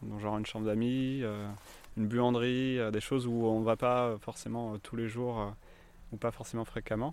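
A man with a medium pitch speaks fairly quickly. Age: 30s. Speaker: shared-housing resident, insurance employee. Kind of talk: casual interview. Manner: hesitant, many fillers.

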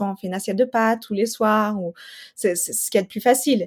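The woman's voice rests at a medium pitch. It rises and falls in an ordinary way. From New Mexico and Colorado, US. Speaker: nutrition specialist and mother. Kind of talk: interview testimony. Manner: hesitant, many fillers and repetitions.

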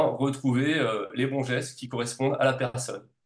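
At a fairly slow pace, a man talks at a medium pitch in an unremarkable speaking voice. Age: 40s. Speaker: naturopath and reflexologist. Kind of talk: casual interview.

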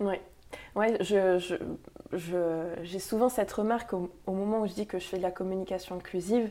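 At a moderate pace, a woman speaks with a dark, mellow tone, medium pitch, fairly even intonation, and long, frequent pauses. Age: 20s. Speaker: inclusive communication consultant. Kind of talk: casual interview. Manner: hesitant, many fillers.

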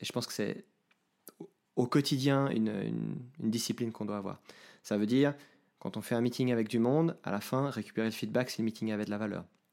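With long, frequent pauses breaking up a fairly quick pace, a man talks at a medium pitch with ordinary pitch variation on a very clean recording with a silent background. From Switzerland, Geneva. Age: 30s. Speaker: IT team manager. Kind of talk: podcast interview.

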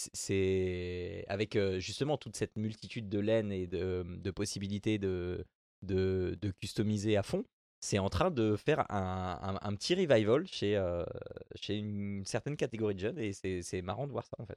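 A man talks in an ordinary speaking voice at a fairly low pitch and a fairly slow pace, with ordinary pitch variation. The sound is dry and close with no echo, against a quiet background. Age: 40s. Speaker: podcast host. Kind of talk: casual chat.

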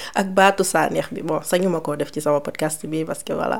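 A dark, mellow tone carries along at a moderate pace. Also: woman. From Senegal. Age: 30s. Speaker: podcast host. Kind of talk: casual Q&A monologue.

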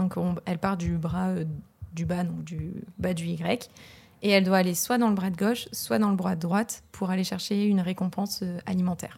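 Somewhat breathy, a woman's medium-pitched voice moves at a moderate pace with fairly even intonation. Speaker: PhD student in neuroscience. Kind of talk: casual interview.

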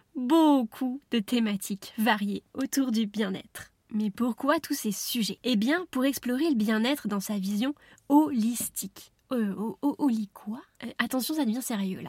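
The sound is dry and close, with no echo, as a woman speaks in an animated tone. She talks at a fairly slow pace with ordinary pitch variation. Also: fairly high pitch for a woman. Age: 30s. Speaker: podcast host, wellness coach. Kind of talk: solo podcast monologue.

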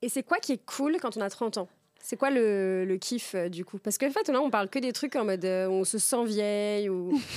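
On a very clean recording with a silent background, a woman with an unremarkable speaking voice talks at a moderate pace, her fairly high pitch moving with lively intonation. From France, Tours region. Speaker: podcast host. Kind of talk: casual chat.

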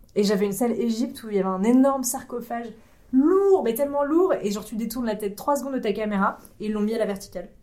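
A woman's dark, mellow voice, fairly high in pitch, with ordinary pitch variation and a very fast pace in audible room echo. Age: 30s. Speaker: YouTuber and escape room game master. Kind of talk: casual interview chat. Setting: recorded at a games festival.

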